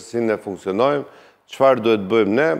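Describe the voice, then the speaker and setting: A man's voice with ordinary pitch variation. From Albania. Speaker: politician. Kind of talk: political talk show interview. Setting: studio. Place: studio. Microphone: lapel.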